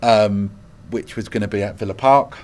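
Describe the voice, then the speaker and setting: This man speaks with an East London accent at a moderate pace. His pitch is fairly low. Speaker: hospice chief executive. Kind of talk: interview.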